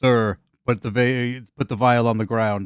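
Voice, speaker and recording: A man puts on a booming character voice at medium pitch, with monotone, flat intonation. He keeps a moderate pace, and the sound is dry and close with no echo. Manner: commanding.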